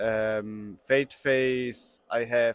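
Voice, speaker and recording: At a very slow pace, a man speaks. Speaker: tournament player. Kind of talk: interview. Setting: outdoors on a veranda. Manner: halting.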